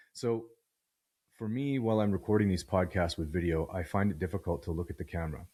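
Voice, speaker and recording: Very deep and low in pitch, a man speaks in a somewhat breathy voice at a fairly quick pace. His pitch variation is ordinary, and the recording is very clean with a silent background. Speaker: podcast host. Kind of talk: solo philosophical monologue. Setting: video podcast recording. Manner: reflective, thoughtful; halting, searching for words.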